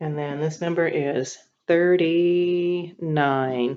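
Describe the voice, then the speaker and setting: This woman's voice has a dark, mellow tone, a very deep, low pitch and ordinary pitch variation. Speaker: teacher. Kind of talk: tutorial.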